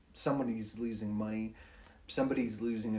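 Audible room echo surrounds a man speaking with monotone, flat intonation. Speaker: wildland firefighter. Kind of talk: casual chat. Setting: home studio.

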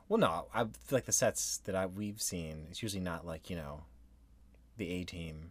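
Very deep and low, a man's voice carries vocal fry and ordinary pitch variation at a moderate pace. The recording is very clean, with a silent background. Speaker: podcast host. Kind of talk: casual banter between spouses.

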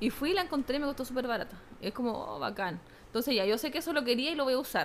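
A woman with a Chilean accent talks at a very fast pace in a high pitch. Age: 30s. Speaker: teacher and fashion content creator. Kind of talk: casual chat.

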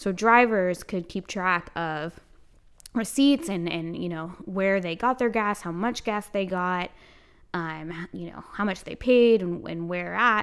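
In an American accent, a woman uses a plain, everyday voice at medium pitch with ordinary pitch variation. The recording is very clean, with a silent background. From South Carolina. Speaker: podcast co-host, newspaper editor. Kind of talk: casual chat.

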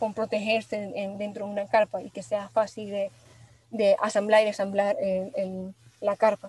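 A woman speaks at a fairly high pitch, with a dark, mellow tone and a somewhat breathy quality. The recording is dry and close, without any echo. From Venezuela, Maracay. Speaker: industrial designer. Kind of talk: interview. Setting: studio. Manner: halting.

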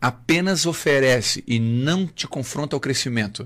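A man speaks in a plain, everyday voice at a medium pitch, with lively intonation. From southern Brazil, Santa Catarina (Criciúma). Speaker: pastor and former army sergeant. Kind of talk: radio interview. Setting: radio studio.

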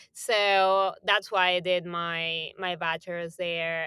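A woman with a Spanish accent, fairly low in pitch, with fairly even intonation and a bright, sharp tone, recorded with a dry, close sound and no echo. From Argentina, Buenos Aires. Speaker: music industry programming executive. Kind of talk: interview.

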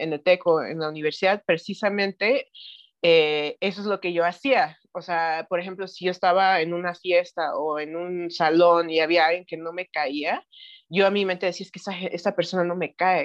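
A woman with a plain, everyday voice speaks at a moderate pace in a fairly low pitch, recorded dry and close with no echo against a quiet background. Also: fairly even intonation. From Mexico City and Knoxville, Tennessee. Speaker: spiritual practitioner. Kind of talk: interview.

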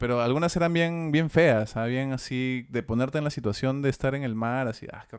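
A man with a plain, everyday voice talks at a fairly quick pace and medium pitch, with hardly any pauses, ordinary pitch variation, and big swings in loudness. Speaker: voice actor and podcast co-host. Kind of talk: casual chat.

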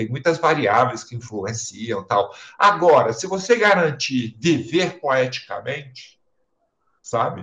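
A man's fairly high-pitched voice, bright and sharp in tone, with very wide pitch swings at a very slow pace. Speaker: theatre director and professor. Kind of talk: casual interview.

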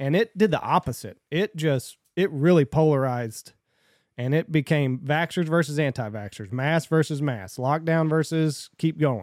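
Recorded very cleanly with a silent background and a dry, close sound with no echo, a man speaks at a moderate pace and a fairly high pitch, with ordinary pitch variation and very even loudness. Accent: Southern US. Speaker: podcast host. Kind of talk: casual chat.

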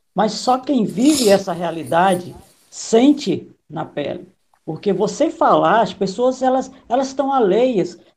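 In a somewhat breathy voice of medium pitch, a woman talks at a fairly slow pace with very wide pitch swings. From Maranhão, Northeast Brazil. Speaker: political consultant and live host. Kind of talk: live interview. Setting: video call livestream.

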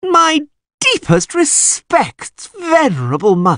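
Putting on a whiny character voice, a man talks at a fairly slow pace with an extremely high pitch. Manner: whining, mock reverence.

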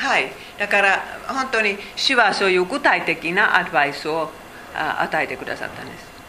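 With a Finnish accent, a woman of medium pitch speaks at a moderate pace, with lively intonation and big swings in loudness. Noticeable background noise and audible room echo fill the recording. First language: Finnish (speaking Japanese). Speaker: Bible teacher. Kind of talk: Bible study lecture. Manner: halting.

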